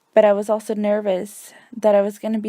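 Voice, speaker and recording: With a Spanish accent, a woman speaks at a medium pitch in a dark, mellow tone. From US, Mexican family (moved at age four). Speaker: student teacher. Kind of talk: reading a personal essay. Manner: scripted, even pace.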